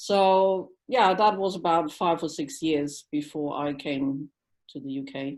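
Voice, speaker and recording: At a fairly slow pace and with a German accent, the speaker uses lively intonation and big swings in loudness over a quiet background. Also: woman, fairly low pitch for a woman. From Germany. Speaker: dog training instructor and tea business owner. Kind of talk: casual chat. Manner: halting, with many fillers.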